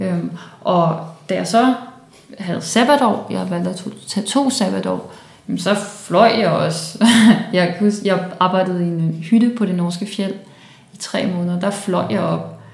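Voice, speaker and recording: At a fairly slow pace with long, frequent pauses, a woman speaks at medium pitch with ordinary pitch variation, amid audible room echo and noticeable background noise. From Denmark, Copenhagen (Valby). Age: 20s. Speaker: climate activist, philosopher. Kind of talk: interview. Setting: indoor room at student house.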